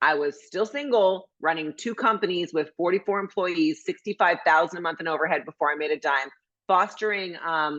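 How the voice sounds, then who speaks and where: A woman's fairly low, animated voice at a fairly quick pace, with ordinary pitch variation and a quiet background. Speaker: motivational speaker. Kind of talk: motivational workshop talk. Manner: fast.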